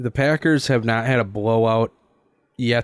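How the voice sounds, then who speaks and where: An ordinary speaking voice moves at a fairly slow pace in a dry, close sound with no echo. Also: man. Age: 20s. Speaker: sports podcast host. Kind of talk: casual chat.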